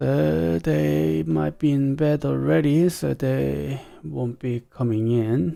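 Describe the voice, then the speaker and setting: A man's very deep, low voice with a dark, mellow tone, very wide pitch swings and a very slow pace. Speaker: streamer. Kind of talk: casual live stream chat. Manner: halting, many fillers.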